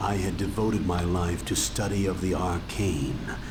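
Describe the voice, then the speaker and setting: Through loud background noise, a man does a put-on character voice with a very deep, low pitch at a fairly slow pace. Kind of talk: epic fantasy narration. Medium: game stream. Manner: solemn, archaic phrasing.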